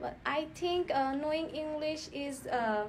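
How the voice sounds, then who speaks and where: Delivered at a fairly slow pace with fairly even intonation, the speech carries audible room echo and noticeable background noise. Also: woman. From Bangladesh, Noakhali. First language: Bengali. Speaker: test candidate, student. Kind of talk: oral exam interview. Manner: halting.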